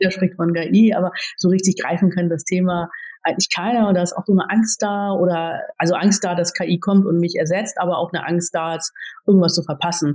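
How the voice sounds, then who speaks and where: A woman's somewhat breathy, medium-pitched voice at a fairly quick pace with fairly even intonation. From Germany. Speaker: IT executive. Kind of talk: interview.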